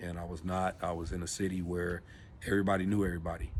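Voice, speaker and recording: A man with an American accent speaks at a very deep, low pitch and a moderate pace in a monotone, flat intonation. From Los Angeles, California. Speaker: vlogger. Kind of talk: personal storytelling vlog. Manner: casual, halting with fillers.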